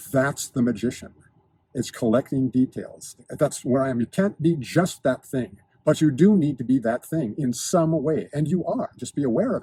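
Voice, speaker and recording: This man's voice is somewhat breathy and fairly high, with a dark, mellow tone and ordinary pitch variation. He keeps a moderate pace, and the sound is dry and close with no echo. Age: 60s. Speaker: lifestyle and fitness video host. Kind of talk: monologue to camera. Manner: precise, articulate diction; halting with repetitions.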